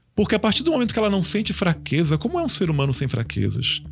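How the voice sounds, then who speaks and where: A man at a fairly quick pace, vocal fry and very wide pitch swings, recorded very cleanly against a silent background. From Bahia, Brazil. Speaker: transhumanism commentator. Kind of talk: casual panel discussion.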